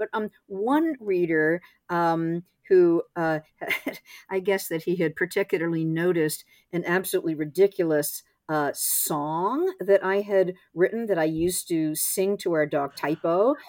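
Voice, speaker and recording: Fairly low for a woman, her pitch moves with ordinary variation at a fairly slow pace in an unremarkable speaking voice. The sound is dry and close with no echo, on a very clean recording with a silent background. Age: 60s. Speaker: essayist and author. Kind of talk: interview conversation.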